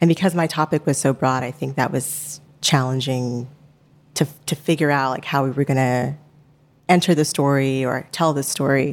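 At a very deep, low pitch, a woman speaks at a moderate pace with fairly even intonation. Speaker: podcast finalist. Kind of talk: stage Q&A.

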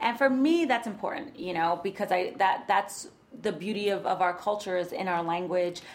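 Lively intonation from a woman, over noticeable background noise. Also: medium pitch for a woman, moderate pace. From New York, the Bronx. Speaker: writer and poet, educator. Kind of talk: casual interview chat.

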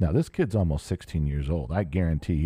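Somewhat breathy, the voice has a dark, mellow tone and an American accent, with ordinary pitch variation. The recording is very clean, with a silent background. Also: man. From US, Southern California (outside Los Angeles). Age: 50s. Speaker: podcast host. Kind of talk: solo casual monologue. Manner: halting, many fillers and restarts.

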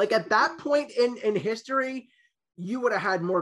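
With an American accent, the man's speech comes at a fairly quick pace. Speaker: podcast co-host. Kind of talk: casual interview chat.

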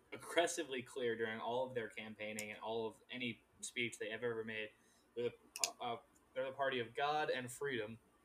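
Talking at a fairly quick pace, a man uses an ordinary speaking voice. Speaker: podcast host.

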